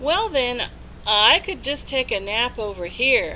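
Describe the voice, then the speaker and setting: Fairly slow speech in a put-on character voice, with clear background noise. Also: woman, high pitch for a woman. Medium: read story.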